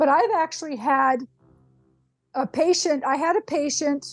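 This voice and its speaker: Music plays in the background. A woman talks with ordinary pitch variation. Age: 60s. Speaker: hospice nurse and author. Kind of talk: interview storytelling.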